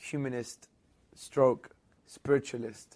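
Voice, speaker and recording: Spoken at a fairly slow pace with a London accent, this is a very clean recording with a silent background. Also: man. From England, London. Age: 30s. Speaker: Islamic apologist. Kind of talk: interview.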